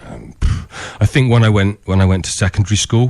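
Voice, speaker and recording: This is a man's voice. He speaks with a West Country accent. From England, Somerset (Glastonbury area). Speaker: speech coach, person who stammers. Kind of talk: radio interview.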